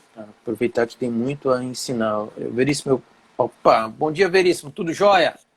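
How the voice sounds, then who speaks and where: The man speaks at a moderate pace. His pitch is medium. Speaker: shrimp farming teacher. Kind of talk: live stream chat. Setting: live Instagram stream.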